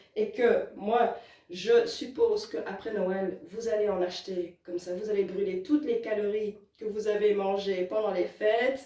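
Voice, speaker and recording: Noticeable background noise surrounds a woman speaking at a moderate pace with ordinary pitch variation. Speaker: roller skating hobbyist. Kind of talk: casual talk to camera. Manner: upbeat, enthusiastic.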